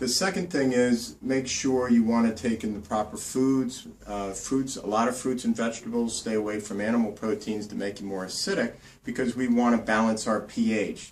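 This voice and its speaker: In a New Jersey accent, a man speaks at a moderate pace. His pitch is medium, with ordinary variation. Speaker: naturopathic doctor. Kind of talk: health tips tutorial. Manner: casual, with many fillers.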